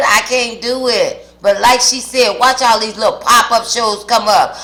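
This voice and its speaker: A woman's high-pitched, animated voice over noticeable background noise. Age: 60s. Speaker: mukbang vlogger. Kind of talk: casual chat to camera while eating. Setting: home kitchen.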